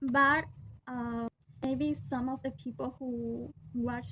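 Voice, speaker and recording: A woman with a Peruvian accent speaks fairly slowly at a fairly high pitch, her intonation lively. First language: Spanish. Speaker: vlogger. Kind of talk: personal vlog monologue. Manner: halting, with fillers and restarts.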